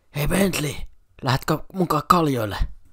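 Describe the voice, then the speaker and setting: A man puts on a raspy character voice, fairly high in pitch, with ordinary pitch variation. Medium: fan dub.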